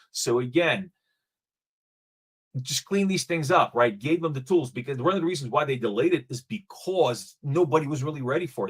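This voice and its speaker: Lively intonation marks this speech. The voice sounds somewhat breathy. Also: man, fairly high pitch for a man. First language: not English. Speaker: blockchain startup founder. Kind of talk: panel discussion. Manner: halting, many fillers and repeats.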